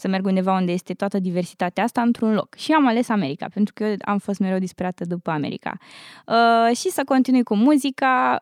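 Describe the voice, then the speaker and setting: A woman with an unremarkable speaking voice talks at a medium pitch with ordinary pitch variation, in a dry, close sound with no echo on a very clean recording with a silent background. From Romania. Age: 20s. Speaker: university student. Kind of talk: casual interview.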